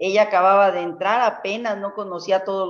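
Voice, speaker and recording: There is a quiet background. The voice belongs to a woman. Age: 60s. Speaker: network marketing leader and herbalist; guest. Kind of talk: mentoring talk. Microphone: video call.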